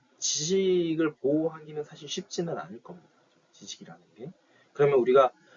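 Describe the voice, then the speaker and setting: This man's voice sits fairly high, with ordinary pitch variation. His loudness swings widely. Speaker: university lecturer. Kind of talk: lecture. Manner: fast.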